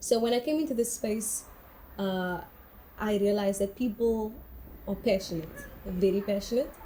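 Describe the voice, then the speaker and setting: A woman speaks at a moderate pace with long, frequent pauses. Her tone is dark and mellow, and somewhat breathy. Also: medium pitch for a woman, ordinary pitch variation. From South Africa, Cape Town (Cape Flats, Mitchells Plain). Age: young. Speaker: artist. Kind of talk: interview testimony.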